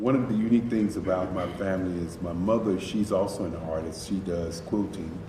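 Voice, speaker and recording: With an American accent, a man speaks at a fairly quick pace with hardly any pauses, a very deep, low pitch and fairly even intonation, amid noticeable background noise and audible room echo. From North Carolina, Durham. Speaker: artist. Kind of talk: interview.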